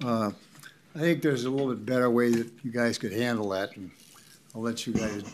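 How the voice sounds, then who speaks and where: Over noticeable background noise, a man with an Upper Midwest accent talks at a fairly quick pace and medium pitch, with ordinary pitch variation and long, frequent pauses. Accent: Upper Midwest (Minnesota). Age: 80s+. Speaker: resident speaking at public comment. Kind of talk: public comment at county board meeting. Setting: county board meeting room, at podium.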